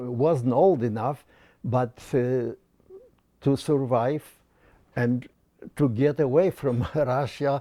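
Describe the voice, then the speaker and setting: In a Polish accent, a man talks very slowly in a dark, mellow tone, with long, frequent pauses. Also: medium pitch for a man, ordinary pitch variation. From Poland. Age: 80s+. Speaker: war veteran. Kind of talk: interview answer.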